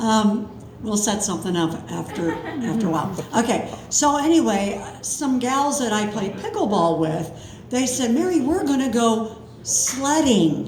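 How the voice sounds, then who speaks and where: A woman with a fairly high pitch speaks at a fairly slow pace with very wide pitch swings, over noticeable background noise and audible room echo. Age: 70s. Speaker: storyteller. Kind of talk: live storytelling. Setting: stage with audience. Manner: casual, chatty.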